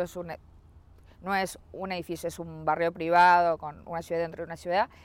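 A woman's fairly low-pitched, ordinary speaking voice with fairly even intonation and a fairly quick pace, on a very clean recording with a silent background. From Uruguay. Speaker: real estate sales executive. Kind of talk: interview.

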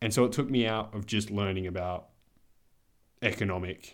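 A man's fairly quick speech with an Australian accent, in a very clean recording with a silent background. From Australia, Adelaide. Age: 20s. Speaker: podcast co-host. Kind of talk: casual chat.

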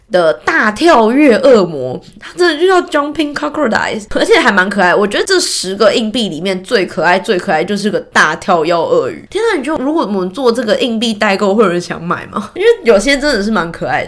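A fairly quick delivery with hardly any pauses, very wide pitch swings and noticeable background noise. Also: woman. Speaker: podcast host. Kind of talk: casual news chat. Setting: home desk with mic.

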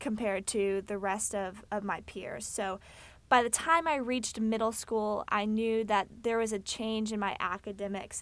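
On a very clean recording with a silent background, a woman with a Texan accent speaks at a fairly high pitch with fairly even intonation. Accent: Texan American. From Texas, Fort Worth. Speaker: podcast host. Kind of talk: solo informative monologue.

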